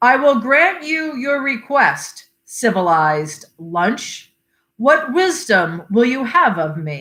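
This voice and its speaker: This put-on character voice sounds female, pitched high and delivered at a very slow pace with very wide pitch swings. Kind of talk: formal, courtly.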